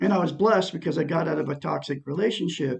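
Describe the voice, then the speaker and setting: A man speaks at a fairly quick pace with vocal fry. His pitch is fairly high and his intonation lively. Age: 60s. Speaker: self-help vlogger. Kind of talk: personal testimony monologue. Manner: rambling, repetitive fillers.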